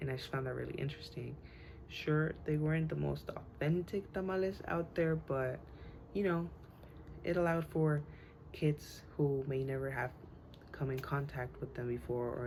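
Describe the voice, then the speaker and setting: The speaker, in a Spanish accent, keeps a moderate pace with long, frequent pauses and ordinary pitch variation. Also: woman. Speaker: student. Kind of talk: class speech. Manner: halting, many fillers.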